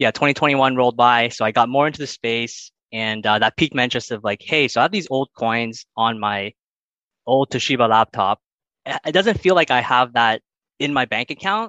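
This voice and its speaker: Against a quiet background, a man with a Canadian accent talks fairly quickly at medium pitch in a bright, sharp tone with ordinary pitch variation, the sound dry and close with no echo. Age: 20s. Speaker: engineer, crypto investor. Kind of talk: interview testimony. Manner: halting, many fillers.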